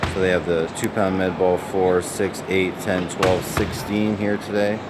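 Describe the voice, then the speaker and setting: Loud background noise sits behind a man who talks at a fairly slow pace. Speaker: basketball coach. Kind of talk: tutorial commentary. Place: hall. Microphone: phone near.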